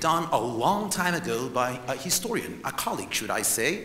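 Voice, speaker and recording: A man with an Israeli accent talks at a moderate pace with very wide pitch swings, amid noticeable background noise and audible room echo. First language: not English. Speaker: historian and tour guide. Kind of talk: presentation lecture to conference audience. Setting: stage with audience. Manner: animated.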